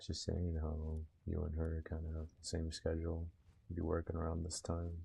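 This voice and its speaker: Relaxed and dark, mellow in tone, a man's somewhat breathy, very deep voice holds a monotone, flat intonation at a moderate pace. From Puerto Rico, raised in mainland US from about age six. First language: Spanish. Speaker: gaming livestreamer. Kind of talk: casual livestream chat while gaming, reading chat aloud. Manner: relaxed, chatty.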